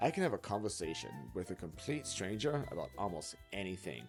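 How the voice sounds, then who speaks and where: Background music accompanies the speaker. He is a man whose pitch swings very widely. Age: 30s. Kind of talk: casual talk to camera.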